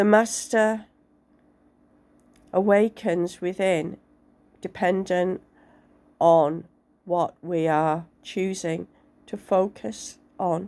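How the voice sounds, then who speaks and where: Very slow and marked by long, frequent pauses, a woman speaks in a dark, mellow tone. Her pitch is medium, with ordinary pitch variation. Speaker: tarot reader. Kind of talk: tarot reading to camera.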